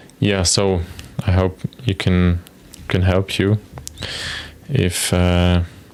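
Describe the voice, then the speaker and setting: A man speaks very slowly at a very deep, low pitch, with long, frequent pauses, fairly even intonation and very even loudness. Noticeable background noise runs underneath. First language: not English. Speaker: software developer streamer. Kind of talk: live coding stream with chat. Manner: casual, hesitant.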